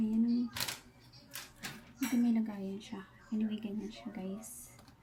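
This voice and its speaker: Soft-spoken and very slow, a woman talks in a flat monotone at a fairly high pitch, with audible room echo and noticeable background noise. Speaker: family vlogger. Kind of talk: cooking vlog.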